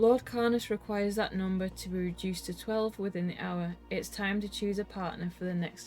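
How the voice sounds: Fairly even intonation in a natural reading voice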